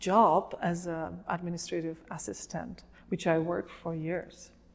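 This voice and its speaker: With a Slovak accent, a woman speaks at a fairly slow pace and a fairly low pitch. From Slovakia. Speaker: refugee sharing her life story. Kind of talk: interview testimony. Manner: hesitant with many fillers.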